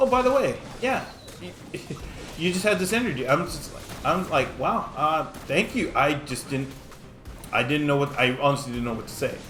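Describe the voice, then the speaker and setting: Amid music in the background and audible room echo, a man with a fairly high pitch speaks at a moderate pace, using very wide pitch swings and long, frequent pauses. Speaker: mobile game streamer. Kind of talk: gameplay commentary with storytelling. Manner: stuttering, halting; casual.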